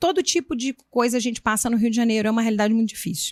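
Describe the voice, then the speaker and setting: A woman's fairly high voice in a Minas Gerais accent, dry and close with no echo, on a very clean recording with a silent background. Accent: Minas Gerais (mineiro) accent, noticeable. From Minas Gerais, Brazil. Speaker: municipal education secretary, former teacher and school principal. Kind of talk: interview.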